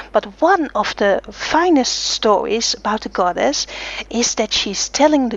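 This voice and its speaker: Over noticeable background noise, a woman with a non-native accent speaks fairly slowly at a high pitch with lively intonation. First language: not English. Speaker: blogger and interviewer. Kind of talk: interview. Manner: halting, many fillers.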